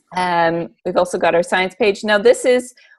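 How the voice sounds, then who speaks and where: A woman's unremarkable speaking voice at a moderate pace, with ordinary pitch variation. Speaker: teacher. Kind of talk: presentation.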